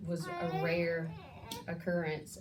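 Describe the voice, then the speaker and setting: The tone is dark and mellow, somewhat breathy. Audible room echo surrounds it. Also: woman. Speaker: bible study leader. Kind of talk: bible study teaching.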